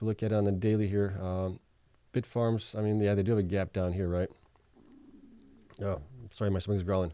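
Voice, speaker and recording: This man talks at a very fast pace, with long, frequent pauses. His fairly low voice has a dark, mellow tone and monotone, flat intonation. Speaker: bitcoin mining stock commentator. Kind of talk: livestream market commentary with Q&A. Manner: soft-spoken.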